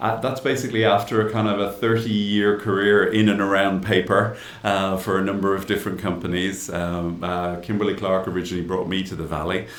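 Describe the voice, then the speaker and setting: A man with an Irish accent talks at a fairly quick pace and a fairly low pitch. His intonation is monotone and flat, and room echo is audible. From Ireland. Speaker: innovation executive in paper industry. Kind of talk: interview.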